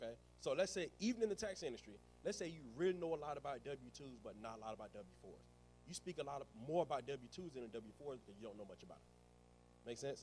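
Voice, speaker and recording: With a Southern US accent, this man talks at a very fast pace, his loudness swinging widely. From rural US South. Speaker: tax business trainer. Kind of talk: live workshop presentation. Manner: words run together.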